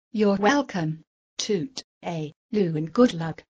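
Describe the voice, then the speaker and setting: A female-sounding put-on character voice speaks at medium pitch and a fairly slow pace. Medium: comedy sketch.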